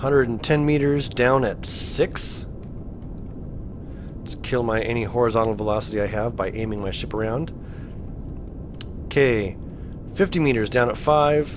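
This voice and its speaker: Amid noticeable background noise and audible room echo, a man speaks at medium pitch with ordinary variation. His pace is moderate, broken by long, frequent pauses. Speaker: gaming video creator. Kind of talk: let's play gameplay commentary. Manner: animated.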